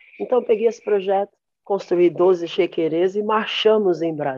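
A woman speaks at a fairly slow pace with lively intonation and a dark, mellow tone. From São Paulo (east zone). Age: 40s. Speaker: percussionist and cultural activist. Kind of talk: panel discussion.

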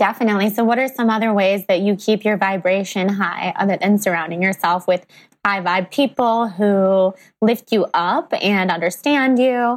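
An unremarkable speaking voice from a woman, medium pitch, ordinary pitch variation, moderate pace and very even loudness, on a very clean recording with a silent background. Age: 20s. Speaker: podcast host. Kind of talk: casual interview chat.

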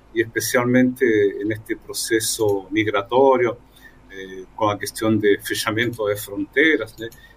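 A man with a Spanish accent, fairly slow pace and big swings in loudness. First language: Spanish (speaking Portuguese). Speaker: journalist and migrant ministry worker. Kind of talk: radio panel interview.

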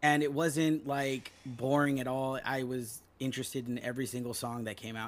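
A man with an American accent and an unremarkable speaking voice, medium in pitch, moderate in pace, fairly even in intonation. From Los Angeles. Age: 30s. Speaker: punk musician. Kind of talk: casual chat. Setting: at home.

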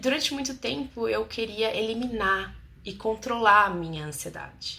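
The woman has a plain, everyday voice with a fairly high pitch. She talks at a moderate pace with ordinary pitch variation. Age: 30s. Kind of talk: testimony and advice monologue to camera. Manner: warm, intimate.

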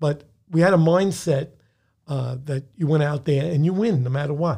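A man with a New York accent speaks at a fairly high pitch with ordinary pitch variation. His voice is somewhat breathy, with a dark, mellow tone. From New York (Bronx). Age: 70s. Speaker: retired police detective. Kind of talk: casual interview.

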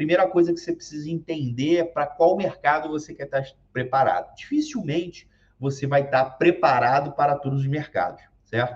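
A man talks at a moderate pace with a somewhat breathy voice. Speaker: occupational safety YouTuber. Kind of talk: casual talk to camera. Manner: halting, many fillers.

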